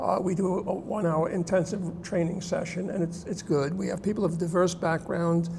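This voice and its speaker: A man's high-pitched, monotone, flat delivery with hardly any pauses, amid audible room echo and noticeable background noise. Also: fairly quick pace. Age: 70s. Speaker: literacy program founder and volunteer tutor. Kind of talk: TV interview.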